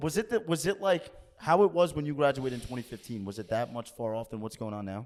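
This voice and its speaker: Speaking very fast, a man with a medium-pitched, animated voice makes very wide pitch swings and big jumps in loudness. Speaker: podcast host. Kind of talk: casual chat.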